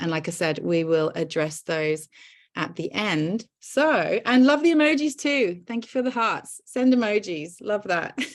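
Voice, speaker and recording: A woman's fairly slow delivery with very wide pitch swings. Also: medium pitch for a woman. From Britain. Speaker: webinar host. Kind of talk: hosted webinar. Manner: animated.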